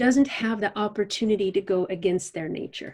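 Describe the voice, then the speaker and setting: A woman speaks at a medium pitch and a moderate pace, with ordinary pitch variation. Her tone is calm, dark and mellow. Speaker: animal communicator and facilitator. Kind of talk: podcast interview answer.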